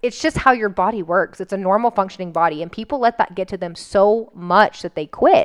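A woman talks at a fairly quick pace with hardly any pauses. She has a medium pitch and an unremarkable speaking voice. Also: ordinary pitch variation, dry, close sound with no echo. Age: 30s. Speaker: nutrition coaching podcast co-host. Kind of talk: casual chat.

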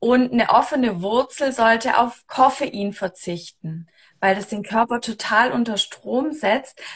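A woman's fairly high voice moves along very slowly. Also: ordinary pitch variation. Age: 30s. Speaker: human design coach. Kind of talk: casual chat. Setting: Instagram live video stream.

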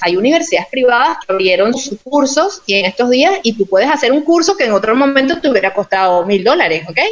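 The speech races at a very fast pace with hardly any pauses and very wide pitch swings. Noticeable background noise sits behind it. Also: woman, high pitch for a woman. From Venezuela, Yaracuy state. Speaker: clinical and social psychologist, researcher. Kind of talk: interview in an online live talk.

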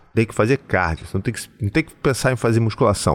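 Vocal fry marks a man's voice at a fairly quick pace, recorded dry and close with no echo. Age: 40s. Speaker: psychoanalyst and podcast host. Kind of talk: solo podcast monologue. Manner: warm, conversational.

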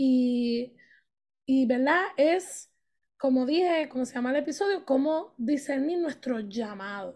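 A woman's high-pitched voice with lively intonation, a very slow pace and a quiet background. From Puerto Rico. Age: 30s. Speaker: youth ministry leader and English teacher. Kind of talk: casual faith podcast chat and testimony.

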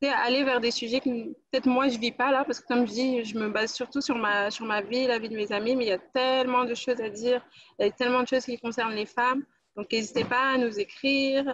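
Fairly quick speech from a woman, high in pitch, with fairly even intonation. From France, Guadeloupean family. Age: 20s. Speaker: employment counsellor and women's platform creator. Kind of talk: casual interview chat.

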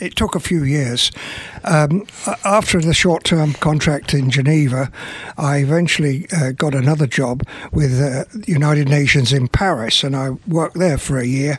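This man has an English accent. His pitch is fairly high. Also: ordinary pitch variation, moderate pace. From English Midlands, Burton upon Trent. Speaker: retired UN official. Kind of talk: radio interview. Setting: studio.

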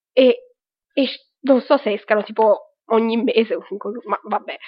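A woman talks at a moderate pace in a high pitch. Her pitch variation is ordinary. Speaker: web radio host. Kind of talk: casual news and reviews show. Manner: hesitant with fillers. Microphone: low quality cheap microphone.

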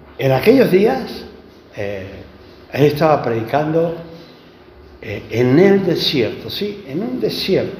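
A man's fairly high voice with very wide pitch swings, a very slow pace and long, frequent pauses, plus audible room echo and noticeable background noise. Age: 70s. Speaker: preacher. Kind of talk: sermon.

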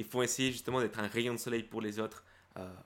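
A man of medium pitch speaks with a Spanish accent in a monotone, flat intonation. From Guatemala, moved to France at 12. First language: Spanish (speaking French). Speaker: YouTuber, self-confidence coach. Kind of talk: casual interview chat.

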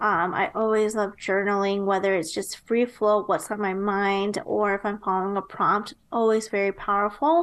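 With a plain, everyday voice and an American accent, a woman talks at a moderate pace with ordinary pitch variation and hardly any pauses, against a quiet background. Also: medium pitch for a woman. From US Midwest, Nebraska. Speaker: entrepreneur and marketing strategist. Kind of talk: interview.

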